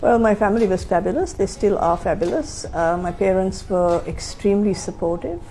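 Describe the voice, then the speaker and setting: A woman with an American accent talks at a medium pitch and moderate pace with ordinary pitch variation. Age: 60s. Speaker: LGBT activist and interviewee. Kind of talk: documentary interview. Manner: hesitant, many fillers.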